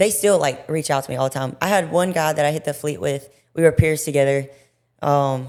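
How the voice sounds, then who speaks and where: On a very clean recording with a silent background, a woman with an American accent speaks at a very deep, low pitch with ordinary pitch variation. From US South, Mississippi. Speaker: Marine drill instructor. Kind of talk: casual chat. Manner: halting.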